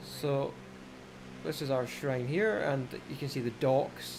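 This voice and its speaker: Noticeable background noise and audible room echo surround a man speaking at medium pitch with fairly even intonation. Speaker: gaming live streamer. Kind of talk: live stream commentary.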